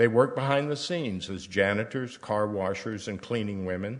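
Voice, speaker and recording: Lively in intonation and moderate in pace, the speaker has an American accent, with audible room echo in the recording. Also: man. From US South, Tennessee. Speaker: guest speaker at church. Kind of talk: sermon reading from personal letters.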